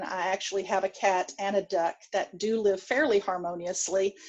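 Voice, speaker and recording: A woman in a Texan accent, medium pitch, monotone and flat delivery. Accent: Texan, can't change it. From Texas. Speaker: pediatric dentistry professor. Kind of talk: lecture. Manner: hesitant, many fillers.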